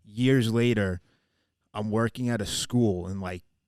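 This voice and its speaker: Against a very clean recording with a silent background, a man speaks in an animated tone with a Long Island accent. His pitch is fairly low and his pace fairly slow. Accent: Long Island New York. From Long Island, New York. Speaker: podcast co-host. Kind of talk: casual chat.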